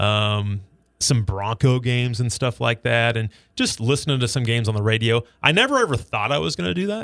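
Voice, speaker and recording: A man with an American accent speaks at a fairly quick pace in an unremarkable speaking voice, his medium pitch showing ordinary variation, on a very clean recording with a silent background. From Nebraska. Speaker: sports radio broadcaster. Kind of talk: casual chat.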